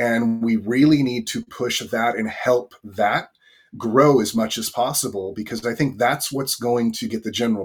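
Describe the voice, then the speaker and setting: A man talks at a moderate pace. He has a Californian accent. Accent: Californian American. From Northern California, US. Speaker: bitcoin education card entrepreneur. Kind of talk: interview.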